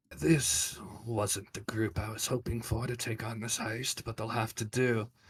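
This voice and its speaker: Putting on a character voice, a man speaks raspily at a medium pitch and a moderate pace. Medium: actual play. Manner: muttering, flat, unemotional.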